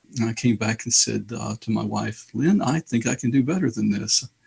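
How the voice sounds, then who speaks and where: A man speaks with a slight Alabama accent and vocal fry. His pitch is medium and his pace moderate. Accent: slight Southern US (Alabama). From Indianapolis, US Midwest. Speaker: author and theologian. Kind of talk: interview.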